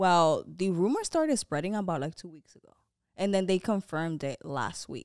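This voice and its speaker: A woman with an American accent speaks in a normal speaking voice at a medium pitch and a moderate pace, with lively intonation and big swings in loudness. The recording is very clean, with a silent background and a dry, close sound with no echo. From Dominican Republic and US. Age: 20s. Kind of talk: casual chat. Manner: talkative, laughing.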